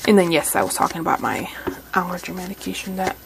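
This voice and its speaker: A soft-spoken woman's voice at medium pitch with lively intonation, over noticeable background noise. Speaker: crafting YouTuber. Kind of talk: craft tutorial. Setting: home craft room. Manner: halting.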